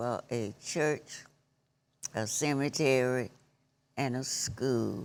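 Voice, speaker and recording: A woman with a Southern US accent, very slow, with ordinary pitch variation. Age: 80s+. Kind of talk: interview answer.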